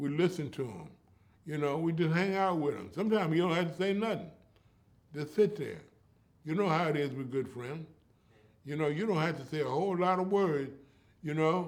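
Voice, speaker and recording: The man's pitch is fairly high, with an American accent. Audible room echo surrounds his voice. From US West Coast, East Oakland, California. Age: 80s+. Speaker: storyteller and community elder. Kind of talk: interview.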